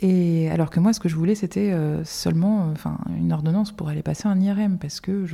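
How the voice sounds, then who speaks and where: A woman's somewhat breathy, fairly low voice, dark and mellow in tone, at a moderate pace. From Limousin, France. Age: 30s. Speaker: stroke and epilepsy patient, public relations worker. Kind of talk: interview testimony. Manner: hesitant, many fillers and restarts; lively, dynamic.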